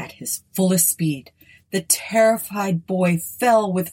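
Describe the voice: The speaker is plainly reading aloud. Pitch varies in an ordinary way.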